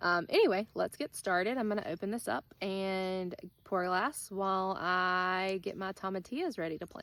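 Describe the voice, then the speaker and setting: In a very clean recording with a silent background, a woman with an Alabama accent speaks at a medium pitch with ordinary pitch variation. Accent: Southern US (Alabama). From US South, South Alabama. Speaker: gardening vlogger. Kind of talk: casual vlog tutorial. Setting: outdoors in garden. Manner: casual, many filler ums.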